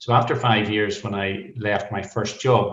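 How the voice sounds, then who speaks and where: A man with a Northern Irish accent speaks at a fairly low pitch and a fairly slow pace. His voice is somewhat breathy. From Northern Ireland. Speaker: veterinarian. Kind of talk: podcast interview.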